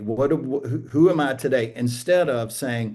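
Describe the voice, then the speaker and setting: A man's medium-pitched, dark, mellow voice at a fairly slow pace, with ordinary pitch variation. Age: 60s. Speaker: pastor and author. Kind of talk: casual chat.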